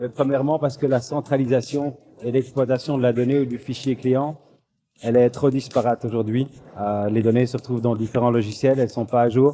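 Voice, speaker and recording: With a slight Belgian accent, the speech moves at a fairly quick pace with fairly even intonation while music plays in the background. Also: man. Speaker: software company manager presenting at a trade fair. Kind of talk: business presentation. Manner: hesitant, many fillers and repetitions.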